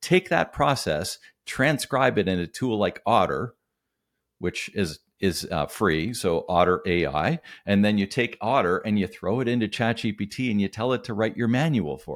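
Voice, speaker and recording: A plain, everyday voice with lively intonation, at a moderate pace. The recording is very clean, with a silent background. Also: man, fairly low pitch for a man. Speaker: business coach. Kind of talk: casual interview.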